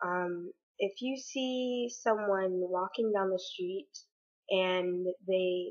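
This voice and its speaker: A woman's shaky, medium-pitched voice moves at a very slow pace with ordinary pitch variation. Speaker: vlogger. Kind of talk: personal vlog opinion monologue. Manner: hesitant, many fillers.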